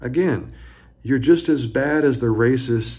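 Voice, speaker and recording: Vocal fry colors this fairly slow, animated delivery in an American accent. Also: man. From US South. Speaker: high school economics teacher, commentator. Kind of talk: opinion monologue. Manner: animated, indignant.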